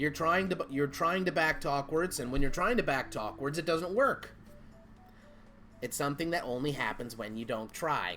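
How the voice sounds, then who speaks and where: A man with a fairly high pitch speaks over music in the background. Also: lively intonation, moderate pace. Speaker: gaming streamer. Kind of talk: casual chat while gaming livestream. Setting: livestream.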